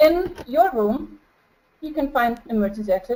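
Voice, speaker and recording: A woman with an Icelandic accent speaks in a high pitch with lively intonation and a dark, mellow tone. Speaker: flight attendant and researcher presenting a case study. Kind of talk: webinar presentation. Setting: home, video webinar. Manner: halting.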